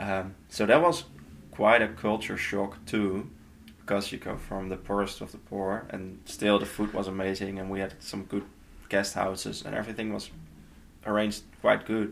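At a moderate pace and with fairly even intonation, a man with a Dutch accent speaks at a fairly low pitch. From Netherlands. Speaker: nonprofit intern. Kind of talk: casual interview. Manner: halting.

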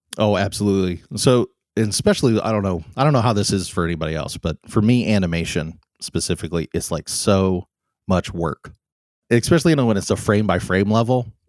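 A man with an American accent in a normal speaking voice, fairly low in pitch with ordinary pitch variation, at a fairly quick pace, on a very clean recording with a silent background and a dry, close sound with no echo. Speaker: animator and animation professor. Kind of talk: interview conversation. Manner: casual, many fillers.

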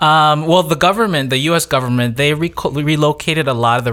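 In a very clean recording with a silent background, a man with an American accent talks at a very fast pace in a bright, sharp tone with ordinary pitch variation. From Wisconsin, US (Janesville), Lao family. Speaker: chef and cooking instructor. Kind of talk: podcast interview.

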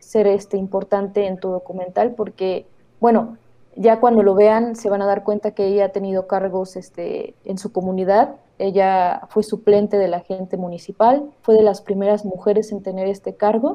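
A medium-pitched woman at a moderate pace, her intonation monotone and flat. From Oaxaca, Mexico. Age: 20s. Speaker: documentary filmmaker. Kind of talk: interview.

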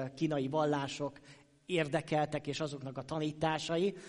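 This man has an ordinary speaking voice. His pitch is fairly high and his pace moderate. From Hungary, Sopron. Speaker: pastor. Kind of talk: sermon. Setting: church.

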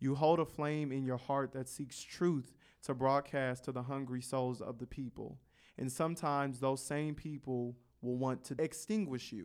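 This man has an unremarkable speaking voice at medium pitch, talking at a fairly slow pace with ordinary pitch variation on a very clean recording with a silent background. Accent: American. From Carson, California. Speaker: college student, podcast founder. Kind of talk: casual chat.

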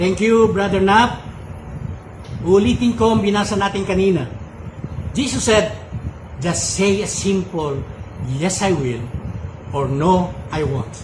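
Against noticeable background noise, a high-pitched man speaks at a very slow pace with long, frequent pauses and lively intonation. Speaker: preacher. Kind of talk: sermon, Taglish preaching with personal anecdotes. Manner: earnest, confessional.

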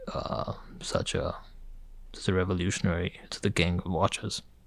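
A man at a fairly slow pace. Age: 20s. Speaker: watch enthusiast. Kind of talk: casual chat. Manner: halting, many fillers.

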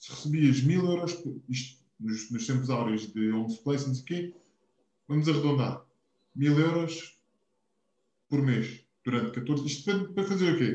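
Fairly high for a man and somewhat breathy, his dark, mellow voice moves at a fairly slow pace with long, frequent pauses. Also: ordinary pitch variation. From Portugal, Algarve (Quarteira). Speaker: podcast co-host. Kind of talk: casual chat.

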